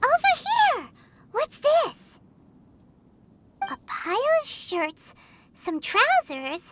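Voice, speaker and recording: An extremely high, put-on character voice moves at a very slow pace with very wide pitch swings. Long pauses come often. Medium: video game. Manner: lively, exclamatory.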